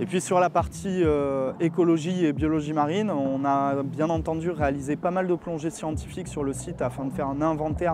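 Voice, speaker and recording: Noticeable background noise surrounds a man whose fairly high voice keeps a fairly even intonation. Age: 30s. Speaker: startup founder and coastal engineer. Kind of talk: interview presentation. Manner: hesitant with frequent fillers.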